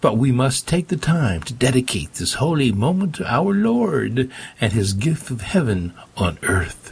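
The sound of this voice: In a put-on character voice, a man speaks at medium pitch with big pitch swings, a husky, rough edge and vocal fry. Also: fairly slow pace.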